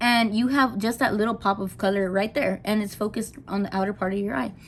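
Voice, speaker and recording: Fairly quick, somewhat breathy speech from a woman. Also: very clean recording, silent background. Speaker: makeup vlogger. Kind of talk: casual makeup tutorial. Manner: fast, rushing; animated.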